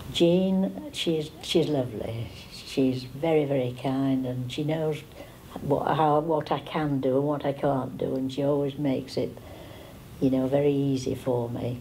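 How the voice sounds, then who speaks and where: A woman talks at a fairly slow pace with a very deep, low pitch and fairly even intonation. Noticeable background noise and audible room echo are present. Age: 80s. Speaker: older guest of a tea-party charity. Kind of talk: interview testimony.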